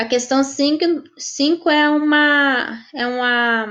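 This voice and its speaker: A woman speaks with lively intonation. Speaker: volunteer teacher. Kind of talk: online class Q&A. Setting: live stream. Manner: halting.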